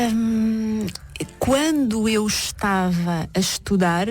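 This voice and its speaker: In a European Portuguese accent, a woman speaks with ordinary pitch variation. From Portugal, Caldas da Rainha. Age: 40s. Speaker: therapist. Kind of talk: radio interview.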